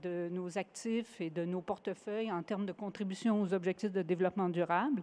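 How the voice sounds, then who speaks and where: A woman with a Quebec accent speaks at a medium pitch with fairly even intonation against a quiet background. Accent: Québécois French. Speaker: sustainability executive at investment fund. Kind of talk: award acceptance speech. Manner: halting, many hesitations.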